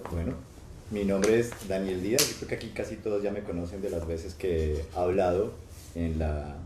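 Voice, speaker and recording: Audible room echo surrounds a man's very deep, low voice. He speaks at a moderate pace with ordinary pitch variation. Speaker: professor and researcher. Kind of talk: testimony in live church stream. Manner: halting.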